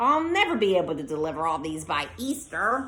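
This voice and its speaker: In a put-on character voice, a female-sounding speaker talks at a fairly quick pace and a middle pitch. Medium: read story.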